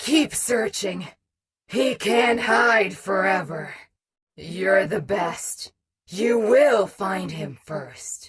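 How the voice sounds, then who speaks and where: A female-sounding, raspy put-on character voice at a medium pitch drags along at a very slow pace. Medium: video game. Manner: self-talk, alternating flattery and harshness.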